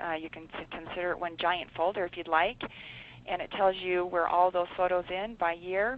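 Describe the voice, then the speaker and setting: The delivery is fairly quick. Its intonation stays monotone and flat throughout. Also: woman. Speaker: scrapbooking consultant. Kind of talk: webinar tutorial. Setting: online webinar. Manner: fast.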